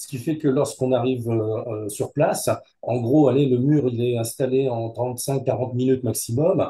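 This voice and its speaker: A man talks at a moderate pace with a medium pitch and fairly even intonation. His tone is dark and mellow, and somewhat breathy. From Hauts-de-France, northern France. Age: 70s. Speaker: business owner. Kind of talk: interview. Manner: hesitant, many fillers.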